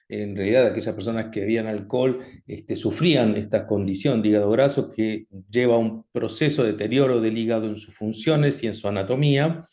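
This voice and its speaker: The man's tone is dark and mellow, with a medium pitch and ordinary pitch variation. He talks at a fairly quick pace. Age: 60s. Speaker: doctor, cardiologist. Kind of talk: online health talk. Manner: halting, many fillers.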